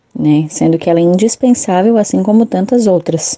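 Lively intonation carries an unremarkable speaking voice at a moderate pace. The sound is dry and close, without echo. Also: woman. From Santa Catarina, southern Brazil. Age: 30s. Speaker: journalist and parish communicator. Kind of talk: interview.

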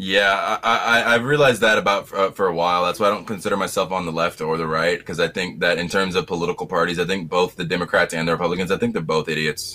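A man with an American accent at a very fast pace, bright, sharp tone and lively intonation. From US South. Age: 20s. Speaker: podcast guest. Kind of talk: casual political discussion. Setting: home bedroom, video call.

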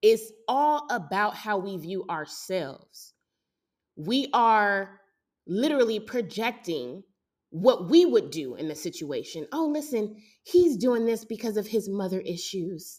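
Speaking fairly slowly, a woman uses an animated tone at a medium pitch. Her pitch swings very widely and her loudness shifts a lot. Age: 30s. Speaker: podcast host. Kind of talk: casual monologue.

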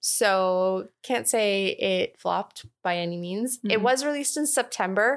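A woman's normal speaking voice, medium in pitch, with lively intonation and a fairly slow pace. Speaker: podcast co-host. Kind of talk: casual chat.

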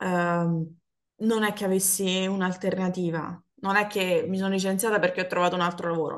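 The voice is monotone, with flat intonation, at a moderate pace. The background is quiet. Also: woman. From Naples, Italy. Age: 30s. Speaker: former office worker. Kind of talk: casual chat.

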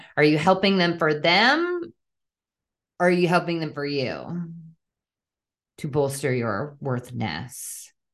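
A woman's very deep, low voice with ordinary pitch variation, a fairly slow pace, long, frequent pauses and audible room echo. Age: 30s. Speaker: podcast host and life coach. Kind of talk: casual monologue. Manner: laughing often.

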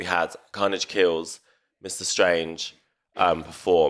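A man with a London accent speaks in a very deep, low voice. His intonation is flat and monotone, and the recording is very clean with a silent background. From north London. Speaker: event organiser. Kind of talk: casual chat.

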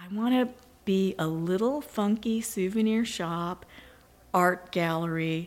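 Hers is an ordinary speaking voice, a woman at a medium pitch. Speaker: shop owner. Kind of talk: interview.

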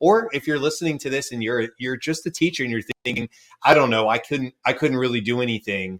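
A man with an American accent talks fairly quickly in an ordinary speaking voice at a medium pitch with ordinary pitch variation. The sound is dry and close, with no echo. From US South, Georgia. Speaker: podcast host. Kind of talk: interview.

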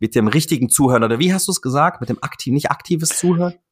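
The pitch swings very widely. The pace is very fast. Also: man. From Offenbach, Hesse, Germany. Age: 30s. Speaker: podcast host, fitness marketing agency owner. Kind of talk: casual interview chat.

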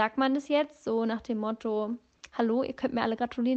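A woman's fairly high voice moves at a fairly quick pace. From northern Germany. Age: 20s. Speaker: podcast host. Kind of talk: casual monologue. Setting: in bed in an apartment. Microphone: phone voice memo, no microphone.

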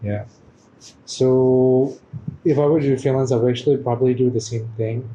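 Speaking at a moderate pace, a man uses a dark, mellow, somewhat breathy tone with monotone, flat intonation. He leaves long, frequent pauses. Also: medium pitch for a man. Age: 20s. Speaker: podcast guest, photographer and performer. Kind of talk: casual chat.

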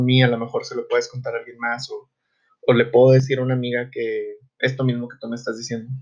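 A man's somewhat breathy, medium-pitched voice at a fairly quick pace. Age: 20s. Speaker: psychologist, podcast host. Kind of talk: solo podcast monologue. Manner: hesitant, many fillers.

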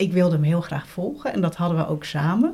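Fairly low in pitch, a woman's voice sounds somewhat breathy with a dark, mellow tone. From Netherlands, Gouda (South Holland). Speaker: interviewee, blind woman. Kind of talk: personal testimony interview. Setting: at a living room table.

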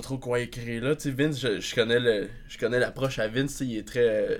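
Speaking at a fairly slow pace, a man uses an unremarkable speaking voice pitched in the medium range. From Quebec, northern Laurentides village. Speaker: progressive metal musician. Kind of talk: casual chat.

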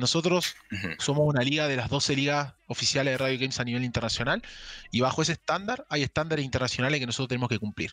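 A man speaks at a very fast pace in a fairly high pitch, his tone bright and sharp, with a dry, close sound and no echo. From Argentina, Misiones province. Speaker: esports league staff. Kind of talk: interview.

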